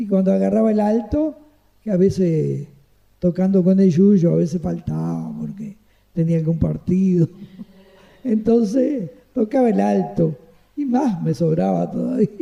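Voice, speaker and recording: A man with a Uruguayan accent, his speech broken by long, frequent pauses. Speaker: retired saxophonist. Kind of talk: interview answer. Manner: pleasant, chatty.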